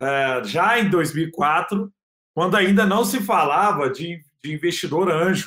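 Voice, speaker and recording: A man talks very slowly in a high voice with a bright, sharp tone. His pitch varies in an ordinary way. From Brazil, Minas Gerais (Triângulo Mineiro). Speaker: tech entrepreneur. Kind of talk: interview.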